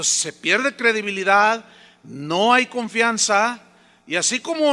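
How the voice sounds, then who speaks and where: Raised and projected, a man's high-pitched voice has a bright, sharp tone, ordinary pitch variation and a fairly slow pace. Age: 60s. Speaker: pastor. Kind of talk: sermon. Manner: conversational, anecdotal with acted dialogue.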